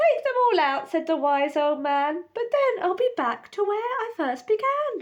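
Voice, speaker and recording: In a squeaky, put-on character voice, the speaker moves at a moderate pace with hardly any pauses and very wide pitch swings. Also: woman, extremely high pitch for a woman. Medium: read story.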